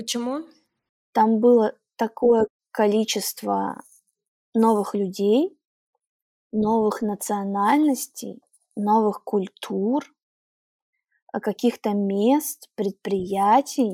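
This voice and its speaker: With long, frequent pauses and a very slow pace, a woman speaks with fairly high pitch, ordinary pitch variation and a dark, mellow tone, in a very clean recording with a silent background and a dry, close sound with no echo. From Russian Far East, Primorsky Krai. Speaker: podcast guest. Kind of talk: casual interview. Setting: studio.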